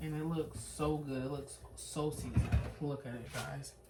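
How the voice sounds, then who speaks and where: A quiet voice with audible echo from the room. It moves at a moderate pace. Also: woman. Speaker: cooking vlogger. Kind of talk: casual cooking vlog. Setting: home kitchen at night. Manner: quiet, hushed.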